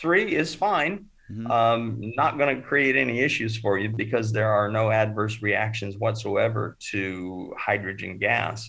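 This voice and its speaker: At a fairly slow pace, a man with a General American accent speaks at medium pitch in a normal speaking voice. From US West (Oregon, Northern California, Arizona). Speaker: water treatment expert. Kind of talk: podcast interview.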